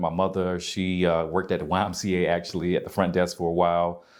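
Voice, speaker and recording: Over a quiet background, a man with a slight Southern US accent talks at a very fast pace in a very deep, low pitch with monotone, flat intonation. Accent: slight Southern country twang. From US South, Albany, Georgia. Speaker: yoga instructor and wellness coach. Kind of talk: interview.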